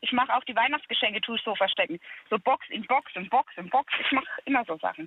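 Lively in intonation, a woman talks at a fairly quick pace in a high voice. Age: 30s. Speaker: caller. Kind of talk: phone-in conversation. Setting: phone call.

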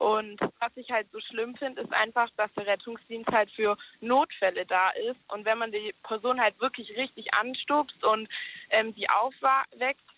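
With a normal speaking voice, a woman talks at a fairly slow pace, her fairly high pitch showing ordinary pitch variation. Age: 20s. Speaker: caller. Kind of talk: casual phone-in chat. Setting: phone call.

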